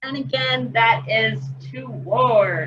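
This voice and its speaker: The room echo is audible as a woman talks. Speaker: celestial navigation instructor. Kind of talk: tutorial. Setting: video call.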